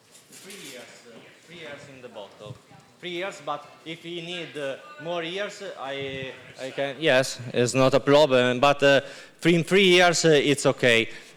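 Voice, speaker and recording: Noticeable background noise surrounds a man speaking at a fairly slow pace. His pitch is fairly high, and his loudness swings widely. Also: ordinary pitch variation. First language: Italian. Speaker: winemaker. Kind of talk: product presentation. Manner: halting.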